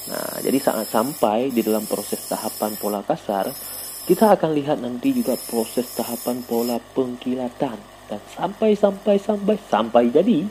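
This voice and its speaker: With an Acehnese accent, the speaker moves at a moderate pace through very wide pitch swings over noticeable background noise. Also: man, medium pitch for a man. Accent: Acehnese accent in Indonesian. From Aceh, Indonesia. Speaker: gemstone polisher, YouTuber. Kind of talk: tutorial with commentary. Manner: animated.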